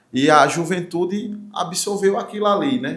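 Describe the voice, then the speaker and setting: Audible room echo surrounds a man as he speaks. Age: 40s. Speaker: forró singer and songwriter. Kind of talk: talk show interview. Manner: animated.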